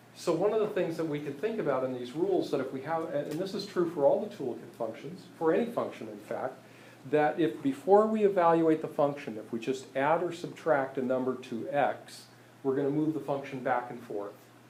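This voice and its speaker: A man's fairly quick, lively speech with audible room echo and noticeable background noise. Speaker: math teacher. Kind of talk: lecture. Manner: halting, many fillers.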